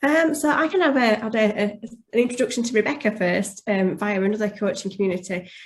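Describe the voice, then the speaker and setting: Speaking at a very fast pace, a woman's voice comes across somewhat breathy. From West Yorkshire, England. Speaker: life coach. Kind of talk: testimonial interview.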